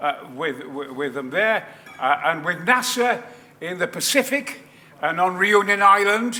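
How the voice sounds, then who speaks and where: This is a man speaking. His pitch swings very widely. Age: 80s+. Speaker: actor. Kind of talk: interview answer.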